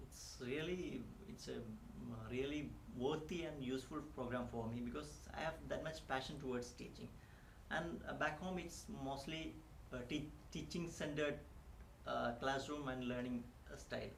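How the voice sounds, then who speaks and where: Audible room echo and noticeable background noise around a man talking at a moderate pace. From India. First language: not English (Indian language). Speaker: immigrant teacher. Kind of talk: interview. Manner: halting, many fillers.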